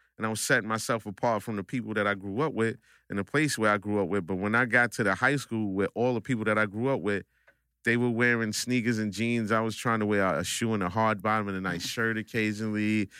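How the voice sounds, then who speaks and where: A man with a New York accent speaks at a fairly quick pace and a fairly low pitch, in a bright, sharp tone with fairly even intonation. The sound is dry and close with no echo, on a very clean recording with a silent background. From Brooklyn, New York (Coney Island). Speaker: barber. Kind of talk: casual chat. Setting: studio.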